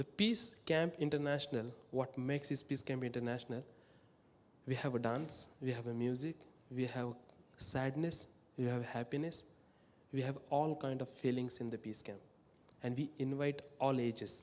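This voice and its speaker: A man with an Indian accent at medium pitch, moderate pace and fairly even intonation, broken by long, frequent pauses. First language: not English (English is fourth language). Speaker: peace camp worker. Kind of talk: talk at worship service.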